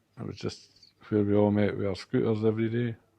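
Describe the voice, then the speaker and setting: A man with a Scottish accent talks at a fairly quick pace. His fairly low pitch stays monotone and flat. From Perth, Scotland. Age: 70s. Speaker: community worker. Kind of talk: interview answer.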